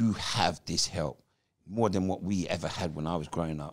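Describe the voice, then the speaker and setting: The voice has vocal fry and ordinary pitch variation at a moderate pace. The background is quiet. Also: man. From England. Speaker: former professional footballer; podcast guest. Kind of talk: podcast interview, personal life story. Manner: animated storyteller. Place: home room. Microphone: handheld.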